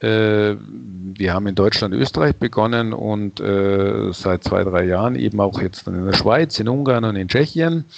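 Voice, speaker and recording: A man speaks at a fairly slow pace and a fairly low pitch with lively intonation. It is an ordinary speaking voice. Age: 60s. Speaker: head of a sustainability brand certification organization. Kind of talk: interview.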